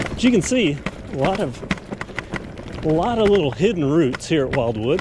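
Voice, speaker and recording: Noticeable background noise surrounds a man whose fairly high voice swings very widely in pitch at a moderate pace. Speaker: e-bike reviewer. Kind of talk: casual ride-along commentary. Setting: outdoors on mountain bike trail.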